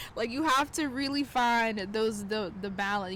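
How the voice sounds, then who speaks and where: A woman speaks at a moderate pace with a medium pitch, in a Southern US accent. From South Carolina. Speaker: tarot reader and astrologer. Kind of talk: casual talk to camera. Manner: casual, chatty.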